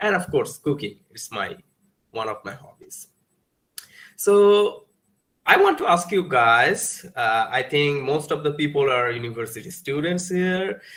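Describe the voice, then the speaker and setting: At a fairly slow pace, a man with a fairly high pitch uses lively intonation and big swings in loudness. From Bangladesh. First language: Bengali. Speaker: guest lecturer. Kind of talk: lecture. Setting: video call. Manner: halting.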